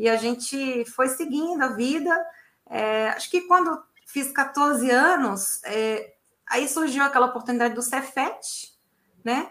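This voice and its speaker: With a bright, sharp tone, a woman speaks at a high pitch and a very slow pace. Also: ordinary pitch variation. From Minas Gerais, Belo Horizonte. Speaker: civil engineer, facade consultant. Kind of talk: interview. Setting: video call.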